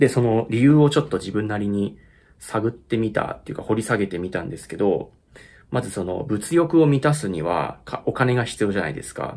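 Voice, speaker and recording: With a fairly low voice, a man talks at a fairly quick pace, showing lively intonation and big swings in loudness. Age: 30s. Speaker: YouTuber and musician; vlogger. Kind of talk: casual chat. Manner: halting; laughs often. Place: home room. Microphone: phone near.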